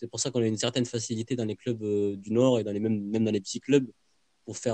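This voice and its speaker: A man speaks in a dark, mellow tone with monotone, flat intonation, and the sound is dry and close with no echo. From southern France, Carcassonne. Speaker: art student and football supporter. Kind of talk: casual interview.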